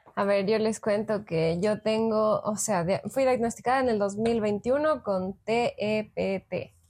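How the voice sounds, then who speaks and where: A woman with a fairly high voice speaks at a very slow pace with hardly any pauses. Her intonation is fairly even and her loudness very even. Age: 20s. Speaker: psychologist, podcast co-host. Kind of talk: casual chat.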